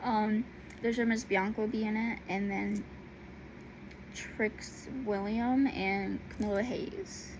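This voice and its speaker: A woman talks at a very slow pace with fairly even intonation, leaving long, frequent pauses. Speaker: YouTuber talking about wrestling. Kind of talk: casual vlog monologue. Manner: halting, many fillers.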